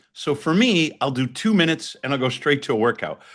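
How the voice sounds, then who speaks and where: A man with an unremarkable speaking voice, fairly high pitch, lively intonation and a fairly quick pace, over a quiet background. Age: 60s. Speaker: ice bath company founder and professor. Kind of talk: interview explanation. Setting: remote call.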